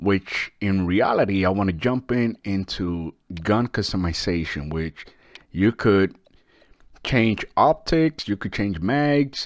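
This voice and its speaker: A man with a non-native accent speaks at a very slow pace with fairly low pitch and lively intonation. The recording is very clean with a silent background. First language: not English. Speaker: gaming YouTuber. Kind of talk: game review. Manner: casual, with fillers.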